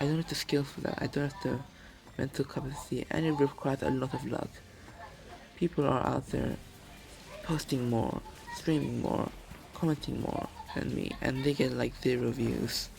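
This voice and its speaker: Music plays in the background, and the speech has long, frequent pauses. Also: man, moderate pace. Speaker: gaming streamer. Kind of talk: casual chat while gaming. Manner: stutter; halting.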